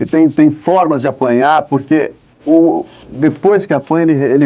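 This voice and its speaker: A man's ordinary pitch variation comes through over noticeable background noise. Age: 20s. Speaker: voice actor. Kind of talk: interview. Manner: halting.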